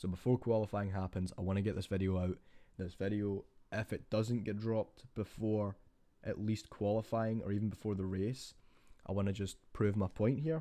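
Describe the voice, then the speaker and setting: A man speaks quietly at a moderate pace. His fairly low voice has fairly even intonation. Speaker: F1 YouTuber. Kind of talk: casual vlog commentary. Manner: quiet, keeping voice down.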